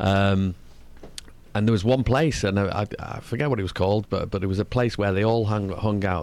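This man has a Mancunian accent and a fairly low pitch. He talks at a fairly quick pace. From northern England. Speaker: singer. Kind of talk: interview. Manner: fast talker.

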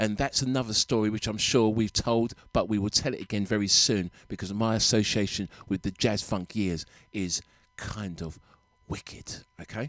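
A man speaks at a fairly low pitch in a warm, upbeat tone. The pace is moderate and the sound is dry and close, with no echo. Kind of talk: radio dj patter. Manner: warm, upbeat, chatty and enthusiastic, with a smooth soulful DJ flow.

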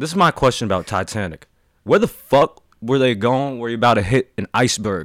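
A man with a normal speaking voice, lively intonation and a moderate pace, in a dry, close sound with no echo. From Washington DC. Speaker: podcast guest, friend of host. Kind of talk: casual chat.

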